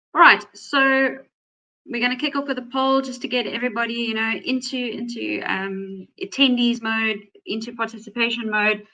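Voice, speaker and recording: A woman's high-pitched voice with ordinary pitch variation, in a South African accent. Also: moderate pace. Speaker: data privacy attorney, webinar host. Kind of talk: webinar presentation.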